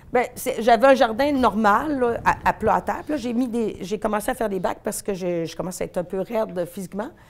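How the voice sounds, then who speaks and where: Here a woman speaks at a fairly quick pace with hardly any pauses. Her pitch is fairly high, with ordinary pitch variation. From Quebec City, Quebec. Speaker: veterinarian. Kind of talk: interview. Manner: fast; animated.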